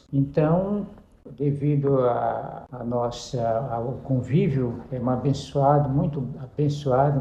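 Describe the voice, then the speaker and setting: A man at a fairly high pitch, with audible room echo. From Brazil, Pará (interior, Juruti). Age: 70s. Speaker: pastor. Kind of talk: interview, life story testimony. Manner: halting, with self-corrections.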